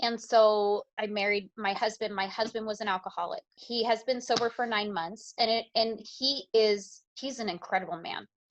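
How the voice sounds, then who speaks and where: Against a quiet background, a woman with a fairly high voice speaks at a moderate pace, hardly pausing and keeping her intonation fairly even. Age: 30s. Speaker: interview guest, mother. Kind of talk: podcast interview, personal testimony.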